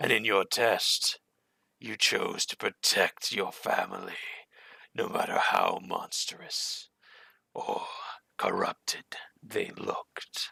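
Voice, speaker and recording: On a very clean recording with a silent background, a man puts on a raspy character voice at a fairly slow pace. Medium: actual play. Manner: measured, sly.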